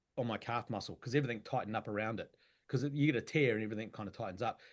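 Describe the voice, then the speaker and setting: Very fast speech comes from a man with a New Zealand accent. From New Zealand, Wellington. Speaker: actor. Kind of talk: casual interview chat.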